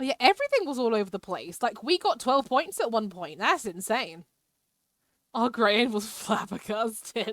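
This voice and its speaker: With a British accent, a woman speaks at a moderate pace in a fairly high pitch, her intonation lively. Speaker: live streamer. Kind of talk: casual live-stream chat while gaming. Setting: live stream.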